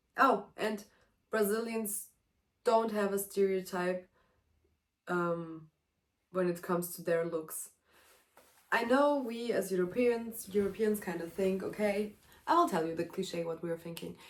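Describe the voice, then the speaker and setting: A woman with a German accent, long and frequent pauses, and ordinary pitch variation. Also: medium pitch for a woman, fairly slow pace. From Germany, Serbian family. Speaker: vlogger, exchange student. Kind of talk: casual vlog monologue. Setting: at home, sitting in a room. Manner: animated.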